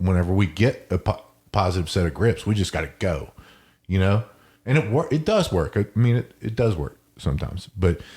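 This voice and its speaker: Energetic in tone and somewhat breathy, a man with a fairly low pitch speaks at a fairly quick pace with lively intonation. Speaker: jiu-jitsu podcast co-host. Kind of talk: casual chat.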